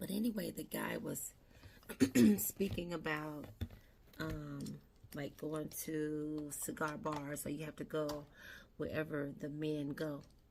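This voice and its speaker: At a very slow pace with long, frequent pauses, a woman speaks in a very deep, low pitch with ordinary pitch variation. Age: 60s. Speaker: beauty vlogger. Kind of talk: casual makeup tutorial chat. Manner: conversational.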